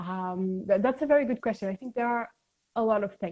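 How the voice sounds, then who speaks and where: A woman with a fairly high voice talks at a moderate pace, her pitch varying in an ordinary way. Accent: Portuguese. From Portugal, Lisbon. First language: Portuguese. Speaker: science communicator. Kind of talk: interview. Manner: halting.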